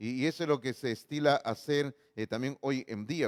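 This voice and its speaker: This man has an ordinary speaking voice at a medium pitch, with ordinary pitch variation and a moderate pace. The recording is very clean, with a silent background. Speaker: pastor. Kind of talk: sermon.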